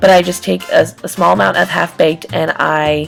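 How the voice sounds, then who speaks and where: Music runs underneath the recording. Over it, a woman talks at a moderate pace. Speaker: beauty vlogger. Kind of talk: makeup tutorial voiceover. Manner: casual, hesitant.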